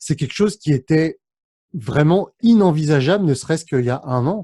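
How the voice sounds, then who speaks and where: On a very clean recording with a silent background and dry, close sound with no echo, a dark, mellow voice moves at a fairly quick pace with lively intonation. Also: man. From France, of Cambodian parents. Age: 30s. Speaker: YouTuber and entrepreneur. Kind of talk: interview. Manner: many hesitations (euh).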